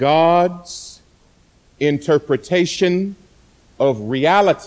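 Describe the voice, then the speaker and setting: The speaker is male. He talks in a high register. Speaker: pastor. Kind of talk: sermon. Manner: loud; soft-spoken.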